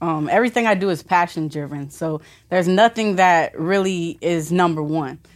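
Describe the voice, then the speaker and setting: In a very clean recording with a silent background, a woman with an American accent talks in a normal speaking voice at medium pitch with ordinary pitch variation. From Florida (Vero Beach). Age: 20s. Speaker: entrepreneur, graphic designer. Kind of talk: casual interview.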